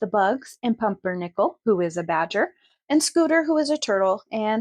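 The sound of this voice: An unforced reading voice over a quiet background, its intonation lively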